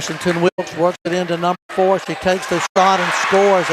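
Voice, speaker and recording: This man speaks with a Southern US accent at a high pitch. His pace is moderate. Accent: Southern US (Georgia). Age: 60s. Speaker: sports announcer. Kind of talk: live commentary.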